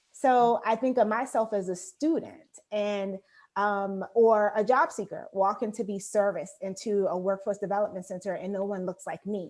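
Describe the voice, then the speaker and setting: An ordinary speaking voice with an American accent, at a moderate pace with hardly any pauses and ordinary pitch variation. The recording is very clean, with a silent background. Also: woman, medium pitch for a woman. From Baltimore, US Mid-Atlantic. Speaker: career services director. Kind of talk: interview.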